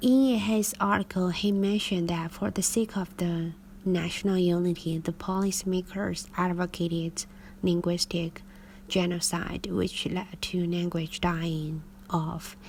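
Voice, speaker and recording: A woman speaks in a Chinese accent at a fairly slow pace. Her fairly low voice is somewhat breathy, with fairly even intonation. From China. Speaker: English teacher. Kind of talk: reading aloud.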